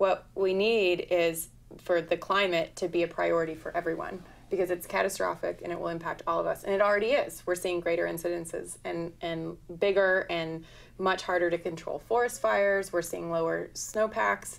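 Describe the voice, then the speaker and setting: The pitch of this woman's voice sits fairly low. She keeps a moderate pace. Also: ordinary pitch variation. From Oregon. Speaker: environmental lawyer and activist; environmental lawyer. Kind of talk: talk show interview. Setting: studio. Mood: earnest, concerned. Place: studio.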